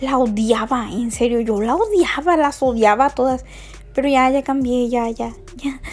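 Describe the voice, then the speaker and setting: Over background music, a woman speaks fairly slowly at a high pitch with ordinary pitch variation. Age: 20s. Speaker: podcast host. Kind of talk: casual monologue.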